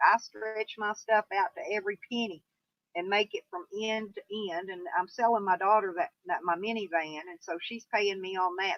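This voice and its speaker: A woman speaks at medium pitch with a Southern US accent. Her pace is moderate and her intonation fairly even. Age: 60s. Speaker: YouTuber. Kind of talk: live stream chat. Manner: casual, rambling pace with fillers.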